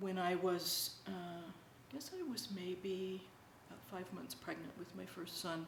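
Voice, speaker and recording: At a fairly slow pace with ordinary pitch variation, the voice carries audible room echo over noticeable background noise. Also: woman, medium pitch for a woman. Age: 60s. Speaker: interviewee sharing spiritual experiences. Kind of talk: personal testimony. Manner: halting, many fillers.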